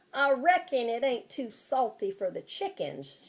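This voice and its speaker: A woman puts on a character voice in a rural Southern Kentucky accent, pitched high. Her pitch swings very widely as she goes at a moderate pace. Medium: read story. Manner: calm, terse.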